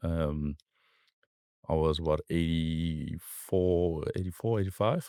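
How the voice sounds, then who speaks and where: Captured in a very clean recording with a silent background and a dry, close sound with no echo, a man speaks with a very deep, low pitch, a dark, mellow tone and ordinary pitch variation. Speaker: entrepreneur and Muay Thai coach. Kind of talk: casual interview chat. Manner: hesitant with fillers and repeats.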